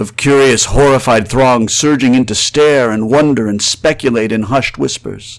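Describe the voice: The reading aloud is plain, and the pitch varies in an ordinary way.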